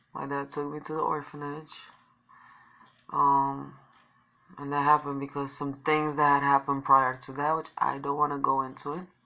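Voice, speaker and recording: Speaking in a Romanian accent at a moderate pace, a woman with a very deep, low pitch and a bright, sharp tone keeps a monotone, flat intonation broken by long, frequent pauses. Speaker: vlogger. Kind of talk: personal testimony. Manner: halting.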